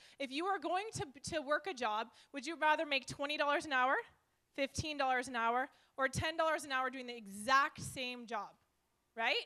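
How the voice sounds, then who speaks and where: A raised, projected voice at a moderate pace, bright and sharp in tone and animated, with ordinary pitch variation and long, frequent pauses. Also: woman, high pitch for a woman. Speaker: network marketing leader. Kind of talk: live seminar presentation. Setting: stage with live audience. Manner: loud.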